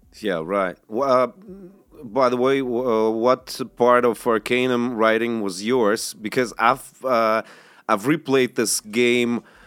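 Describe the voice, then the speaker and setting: Very slowly and with fairly even intonation, a man with a Russian accent talks at medium pitch on a very clean recording with a silent background. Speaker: podcast host. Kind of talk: casual chat. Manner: halting.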